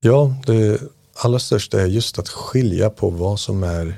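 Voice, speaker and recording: Very slowly, a man speaks in a fairly low, somewhat breathy voice with a dark, mellow tone and ordinary pitch variation, captured in a very clean recording with a silent background. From Iran. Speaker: meditation teacher. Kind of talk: casual chat; guided meditation.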